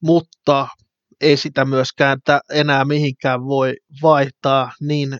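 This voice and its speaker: Very slowly, a man speaks in a flat, monotone way at a fairly high pitch for a man, with a dry, close sound and no echo. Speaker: football fan podcaster. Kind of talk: solo podcast monologue.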